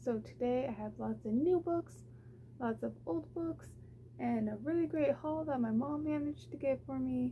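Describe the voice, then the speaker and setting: A quiet woman's voice at a moderate pace. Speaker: booktuber. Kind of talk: casual unboxing haul video. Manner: quiet, low voice; chatty, with fillers.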